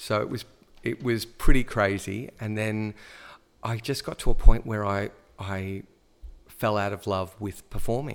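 Recorded very cleanly over a silent background, a man with an Australian accent speaks at a fairly slow pace, leaving long, frequent pauses. His fairly low voice stays monotone and flat in intonation, yet his loudness swings widely. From Australia, Melbourne. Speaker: high school drama teacher. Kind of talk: casual chat.

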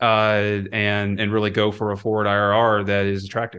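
A man with an American accent, fairly low pitch and a bright, sharp tone, at a moderate pace over a quiet background. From US Midwest. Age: 30s. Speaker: portfolio manager. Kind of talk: interview. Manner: halting, many fillers.

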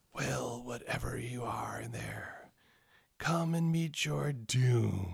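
A man does a put-on, raspy character voice at medium pitch, speaking at a very slow pace. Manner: menacing, threatening.

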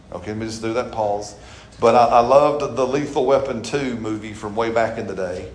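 Noticeable background noise sits behind a man with an American accent speaking at a fairly quick pace. His pitch is medium and his intonation fairly even. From Alabama. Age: 40s. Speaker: pastor. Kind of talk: sermon. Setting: church.

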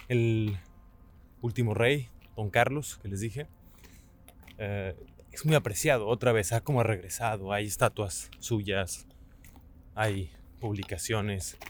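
With a Mexican accent, the speaker goes at a fairly slow pace, taking long, frequent pauses, with ordinary pitch variation. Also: man, fairly low pitch for a man. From Mexico. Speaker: podcast host. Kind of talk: solo travel and history narration.

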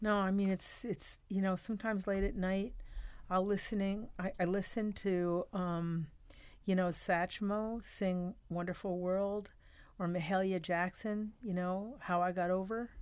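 In an ordinary speaking voice with an American accent, the speaker goes at a fairly slow pace with very even loudness, on a very clean recording with a silent background. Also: woman, medium pitch for a woman. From US Northeast, New York City. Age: 60s. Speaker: pastor. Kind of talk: casual chat.

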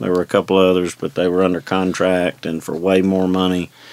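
Speaking at a fairly quick pace, a man with a Southern US accent has a very deep, low pitch. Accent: Southern US (Georgia). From US South, north Georgia (Forsyth County). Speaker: mayor. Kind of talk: casual interview. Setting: studio.

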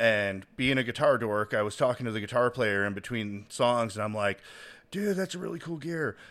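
On a very clean recording with a silent background, a man with an American accent uses a normal speaking voice at medium pitch and a moderate pace. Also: ordinary pitch variation. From Chicago. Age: 30s. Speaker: podcast host. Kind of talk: casual chat.

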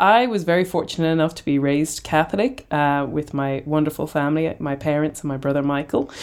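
A woman with an Irish accent talks at a fairly quick pace. Her pitch is very deep and low, with ordinary variation. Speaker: podcast host. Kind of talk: casual chat.

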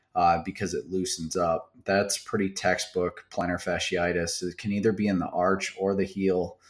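On a very clean recording with a silent background, a man with an American accent speaks at a moderate pace in a very deep, low pitch with monotone, flat intonation. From US Midwest, South Central Wisconsin. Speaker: chiropractor. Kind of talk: casual interview.

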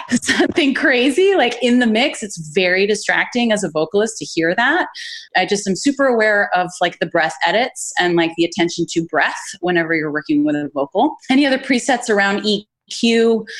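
Speaking at a fairly quick pace, a woman's voice makes very wide pitch swings against noticeable background noise. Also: medium pitch for a woman. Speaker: singer-songwriter. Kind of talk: casual interview.

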